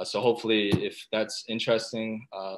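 A man speaks at a fairly quick pace and a fairly low pitch. His voice shows little pitch movement.

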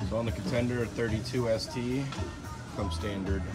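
Ordinary pitch variation over loud music in the background. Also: man. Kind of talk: product demo talk. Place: boat. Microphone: phone near.

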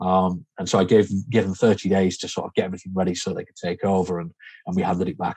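Against a quiet background, a man talks very fast in a very deep, low, dark and mellow voice, with a dry sound and no echo. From Yorkshire, raised partly in Spain. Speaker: serviced accommodation manager; podcast guest. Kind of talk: interview. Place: home room.

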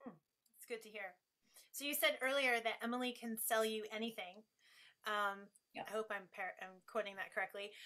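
A woman's bright, sharp voice, fairly high in pitch, with an American accent and long, frequent pauses. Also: fairly even intonation, moderate pace. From New England, US. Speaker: interview host. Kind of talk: interview conversation.

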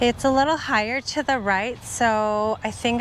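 A woman speaks at a moderate pace over light background noise, the recording dry with no echo. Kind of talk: casual vlog chat. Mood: upbeat, relaxed. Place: open country.

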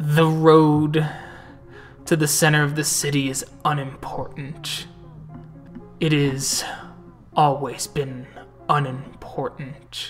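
A croaky put-on character voice sits at a low-to-middle pitch, flat and monotone, at a fairly slow pace. Music plays clearly in the background.

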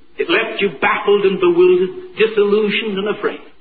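High-pitched male voice with lively intonation over noticeable background noise. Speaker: preacher. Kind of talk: sermon preached to a congregation.

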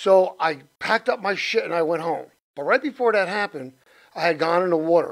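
A man talks at a fairly quick pace with lively intonation. His pitch is high, and the background is quiet. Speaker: interview guest. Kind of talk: interview answer. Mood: earnest, reflective. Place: studio. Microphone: studio mic.

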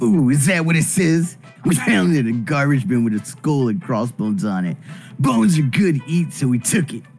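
Faint music plays in the background as a man uses a put-on character voice. He speaks at a moderate pace and a fairly high pitch. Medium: game stream. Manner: casual, slangy.

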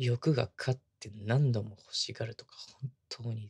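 In a quiet background, a man talks with fairly even intonation and a somewhat breathy voice. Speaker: ASMR voice actor. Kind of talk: ASMR situational pillow talk, intimate roleplay whisper. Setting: binaural ASMR studio recording. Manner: soft, tender, sweet, bashful, laughing softly. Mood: very sweet, gentle, intimate. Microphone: studio mic.

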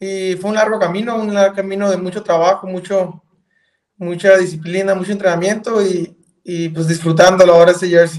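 Against a quiet background, a man talks fairly quickly in a high pitch with monotone, flat intonation. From northern Mexico. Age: 30s. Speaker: professional cyclist; guest. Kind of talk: interview. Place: home room. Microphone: video call.

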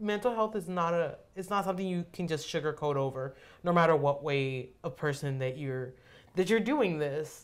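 Lively intonation runs through this woman's speech, delivered at a moderate pace. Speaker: student podcast co-host. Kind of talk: casual chat. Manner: animated. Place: meeting room.

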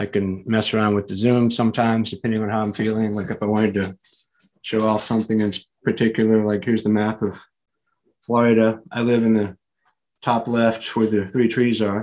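At a fairly quick pace, a man speaks in a fairly low pitch with monotone, flat intonation. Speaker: conference presenter. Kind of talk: tutorial. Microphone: studio mic.

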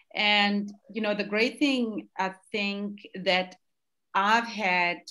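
A woman speaks at a medium pitch with ordinary pitch variation. Her tone is bright and sharp, and the background is quiet. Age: 50s. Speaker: skincare entrepreneur; interview guest, speaker. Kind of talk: interview. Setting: livestream. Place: home room. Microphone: video call.

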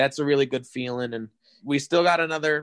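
The pace is fairly quick. The sound is dry and close, with no echo. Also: man. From western Wisconsin, rural. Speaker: musician in a band. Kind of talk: interview.

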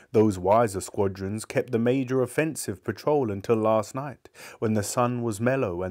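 Pitch moves in a normal range through this unstrained reading voice.

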